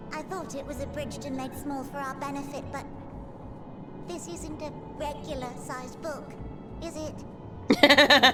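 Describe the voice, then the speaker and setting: A female-sounding put-on character voice, high-pitched, at a moderate pace over loud background noise. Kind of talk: comic fantasy game voice acting. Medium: game stream. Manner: fussy, excitable.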